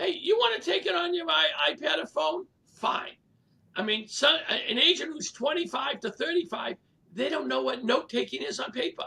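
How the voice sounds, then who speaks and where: With a Boston accent, a man speaks in a raised, projected voice at an extremely high pitch, his pitch swinging very widely at a moderate pace. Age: 70s. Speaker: real estate leader and coach. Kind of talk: casual interview.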